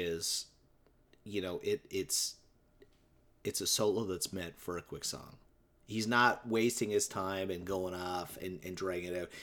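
At a fairly slow pace, a man with a normal speaking voice talks in a fairly low pitch with ordinary pitch variation. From Newfoundland, Canada. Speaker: podcast co-host, music fan. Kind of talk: casual chat.

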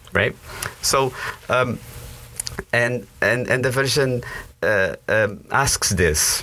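Over noticeable background noise, a man talks at a very slow pace with very even loudness and long, frequent pauses. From northern Portugal, moved to US at 17. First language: Portuguese. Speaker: campus minister. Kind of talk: interview conversation. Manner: animated; hesitant, with fillers and repetitions.

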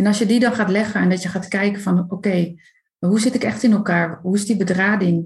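This woman's voice is somewhat breathy and medium in pitch. She keeps a moderate pace and fairly even intonation. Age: 30s. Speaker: coach for highly sensitive people. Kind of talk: casual interview.

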